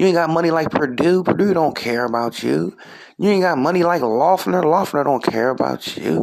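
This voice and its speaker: With an American accent, a man has an ordinary speaking voice, fairly high in pitch with lively intonation. He keeps a moderate pace and very even loudness. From US Northeast (Trenton, New Jersey). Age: 40s. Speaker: comedian and podcast host. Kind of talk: casual solo commentary.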